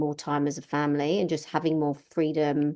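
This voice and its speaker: Her voice has a dark, mellow tone and a very deep, low pitch for a woman. The woman talks at a moderate pace against a quiet background. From England. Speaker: business consultant and landscaper's wife. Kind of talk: podcast interview.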